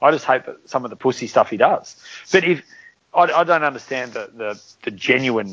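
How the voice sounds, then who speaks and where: With an Australian accent, a man speaks with lively intonation. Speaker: podcast co-host. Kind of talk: casual chat.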